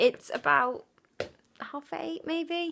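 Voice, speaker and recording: A woman with a British accent speaks at a very slow pace. Her pitch swings very widely. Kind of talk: casual vlog to camera. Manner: low-energy.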